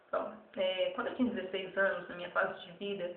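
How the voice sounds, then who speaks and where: A woman at a moderate pace with fairly even intonation, amid audible room echo and noticeable background noise. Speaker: evangelist. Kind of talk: testimony.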